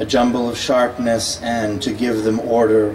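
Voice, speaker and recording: Noticeable background noise runs under this recording. A man with a medium-pitched voice speaks at a fairly slow pace. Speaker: poet. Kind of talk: poetry reading. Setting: live event, audience.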